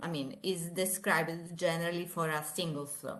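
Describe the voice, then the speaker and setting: Speaking in an Italian accent at a moderate pace, a woman's fairly low voice carries audible room echo and noticeable background noise. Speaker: engineering professor. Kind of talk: lecture. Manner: halting.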